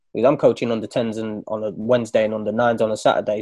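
A man's dark, mellow voice in an East Midlands accent, against a quiet background. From Nottingham, England. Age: 30s. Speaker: footballer and coach. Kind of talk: casual chat.

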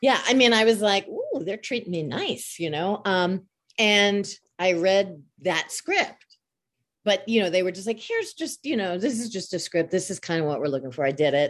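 With an American accent, a woman speaks at medium pitch and moderate pace in a plain, everyday voice against a quiet background. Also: lively intonation. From Long Island, New York. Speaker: voice actor. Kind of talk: casual chat. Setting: video call.

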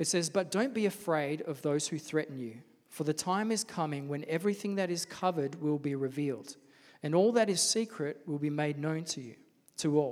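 A man speaks at a fairly quick pace with an Australian accent. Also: fairly high pitch for a man, ordinary pitch variation, very clean recording, silent background. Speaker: pastor. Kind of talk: sermon. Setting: church. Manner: soft-spoken.

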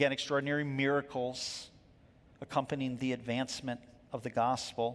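A man speaks at a fairly quick pace with a fairly high pitch. The recording is very clean with a silent background, and it is a plain, everyday voice. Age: 50s. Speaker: pastor. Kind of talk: sermon. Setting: church.

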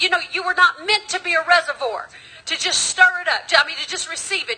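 A raised, projected voice at a fairly quick pace. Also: woman. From US South. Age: 50s. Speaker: preacher. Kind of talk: sermon. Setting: church. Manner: animated.

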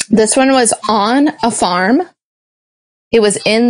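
A woman speaks in an animated tone with an American accent. Her pitch varies in an ordinary way. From US South, small-town Georgia. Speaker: improv performer. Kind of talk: casual chat. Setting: internet call.

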